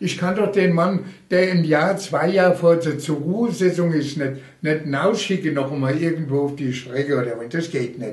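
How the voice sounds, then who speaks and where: Audible room echo around a man at a fairly high pitch, moderate pace and ordinary pitch variation. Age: 80s+. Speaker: retired railway union official. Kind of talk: oral history interview.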